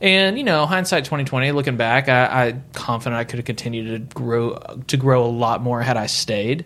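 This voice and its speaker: Speaking at a moderate pace, a man with a plain, everyday voice keeps a medium pitch with ordinary pitch variation. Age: 30s. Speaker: real estate broker and team leader. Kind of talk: casual interview. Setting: studio.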